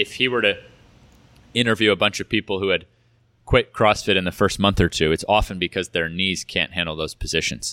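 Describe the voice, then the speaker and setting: A man speaks in a plain, everyday voice at a fairly low pitch and a fairly quick pace, with ordinary pitch variation, in a very clean recording with a silent background and a dry, close sound with no echo. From California. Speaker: basketball athlete and fitness coach. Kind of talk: interview conversation.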